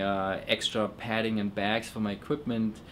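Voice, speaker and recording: Speaking with a German accent, a man uses a fairly low pitch at a moderate pace. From Germany. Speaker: illustrator. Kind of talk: interview testimony. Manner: halting, many repetitions and fillers.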